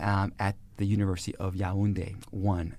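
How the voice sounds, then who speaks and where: On a very clean recording with a silent background, a man with an American accent has an ordinary speaking voice, a fairly low pitch and a moderate pace. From Brooklyn, New York. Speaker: sociology professor. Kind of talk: interview. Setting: studio.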